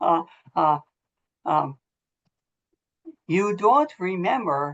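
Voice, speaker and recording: A woman with an American accent. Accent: sometimes sounds foreign after a stroke. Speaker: motivational speaker, former volleyball coach. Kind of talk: talk to a college team. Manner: halting, speech impaired after stroke.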